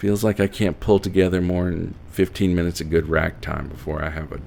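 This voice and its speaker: A man with an Appalachian accent, very deep and low in pitch, fairly even in intonation, at a moderate pace amid noticeable background noise. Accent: mild Appalachian. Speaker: horror narrator. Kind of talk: audio drama narration.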